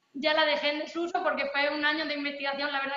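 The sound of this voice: A woman speaks at a fairly quick pace in a high pitch with a bright, sharp tone, and audible room echo surrounds her.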